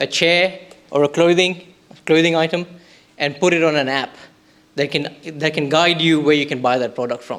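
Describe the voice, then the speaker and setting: A man with a non-native accent speaks with a fairly high pitch and fairly even intonation. His pace is moderate, broken by long, frequent pauses. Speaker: startup pitch presenter. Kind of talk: pitch presentation.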